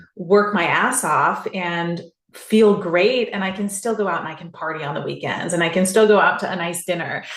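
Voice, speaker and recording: Speaking with a West Coast US accent, a woman uses a medium pitch, ordinary pitch variation and a moderate pace, with audible room echo. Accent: General American (West Coast). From Southern California. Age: 40s. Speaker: podcast guest, CrossFit athlete. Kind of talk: interview conversation.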